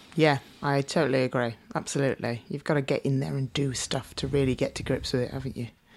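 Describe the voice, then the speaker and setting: A woman with a British accent at a very fast pace, very deep and low in pitch, with ordinary pitch variation and vocal fry. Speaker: podcast co-host. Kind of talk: casual interview chat.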